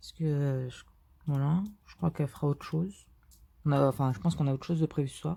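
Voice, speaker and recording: Very fast speech broken by long, frequent pauses, with a somewhat breathy, dark, mellow tone, ordinary pitch variation and big swings in loudness. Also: woman, very deep, low pitch for a woman. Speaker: diamond painting youtuber. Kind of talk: casual vlog commentary while crafting. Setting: bedroom at someone else's home. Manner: speaking more quietly than usual; hesitant, many fillers.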